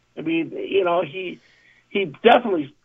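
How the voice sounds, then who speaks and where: A man's high-pitched voice with an American accent, lively intonation and a moderate pace. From Southern California. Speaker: sports talk co-host. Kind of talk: casual chat.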